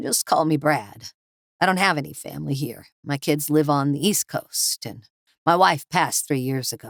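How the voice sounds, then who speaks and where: A woman in a put-on character voice speaks at a moderate pace, raspy and very deep in pitch, with a dry, close sound and no echo. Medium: read story. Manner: gruff, plainspoken.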